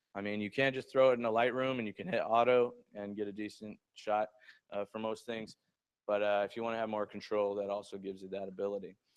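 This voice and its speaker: Monotone and flat, a man with a fairly low pitch speaks at a very fast pace. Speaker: photography instructor. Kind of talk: workplace lecture. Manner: casual, many fillers.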